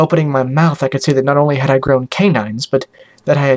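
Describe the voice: Plain reading aloud, the intonation fairly even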